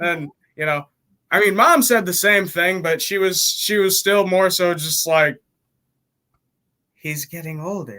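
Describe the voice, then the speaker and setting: A raised, projected voice with a bright, sharp tone comes through. It moves at a moderate pace with ordinary pitch variation. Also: man. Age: 20s. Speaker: musician and rapper. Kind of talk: casual chat.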